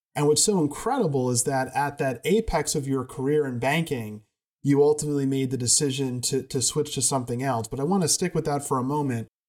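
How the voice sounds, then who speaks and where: A man talks at a fairly quick pace with a fairly high pitch and ordinary pitch variation. It is a plain, everyday voice. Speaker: podcast host. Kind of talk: interview.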